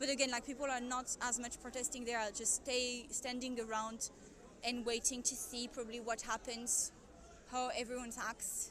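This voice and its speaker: Against noticeable background noise, a woman with a French accent speaks high-pitched in a monotone, flat delivery. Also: moderate pace. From France. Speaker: live streamer filming a protest. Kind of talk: live-stream commentary with chat. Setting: outdoors at a street protest. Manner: hesitant, many fillers.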